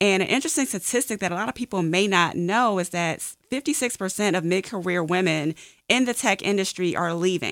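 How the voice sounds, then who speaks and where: Speaking fairly quickly with lively intonation and an American accent, this plain, everyday voice comes through a very clean recording with a silent background. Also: woman, medium pitch for a woman. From Washington, D.C. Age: young. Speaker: corporate coach and technologist. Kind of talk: radio interview.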